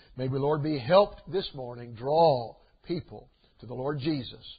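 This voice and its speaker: A somewhat breathy man against a quiet background. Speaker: preacher. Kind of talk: sermon. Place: church.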